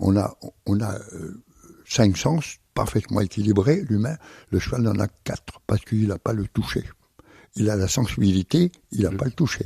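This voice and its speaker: A man with a fairly low pitch and a dark, mellow tone sounds somewhat breathy, with lively intonation. His voice comes through dry and close, with no echo. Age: 70s. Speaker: circus artist and horse trainer. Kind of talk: radio interview answer.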